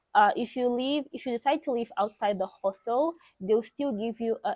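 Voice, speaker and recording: A woman with a Portuguese accent and lively intonation, on a very clean recording with a silent background. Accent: Portuguese-speaker. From Mozambique. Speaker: vlogger. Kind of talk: casual vlog talk.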